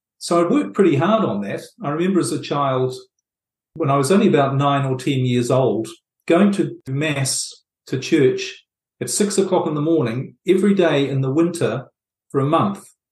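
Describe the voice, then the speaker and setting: Fairly high in pitch and somewhat breathy, a man speaks in a New Zealand accent. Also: lively intonation, moderate pace. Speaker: author and relationships coach. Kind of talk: interview.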